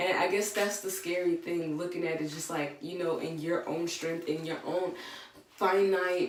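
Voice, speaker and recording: A soft-spoken woman with a fairly low pitch, in audible room echo. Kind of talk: devotional talk with scripture reading.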